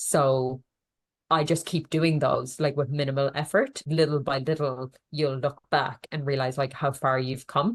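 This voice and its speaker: A woman's very deep, low voice with an Irish accent, fairly slow and fairly even in intonation, against a quiet background. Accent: Irish, can't pronounce th sounds. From Ireland. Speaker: nutritionist. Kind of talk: podcast interview.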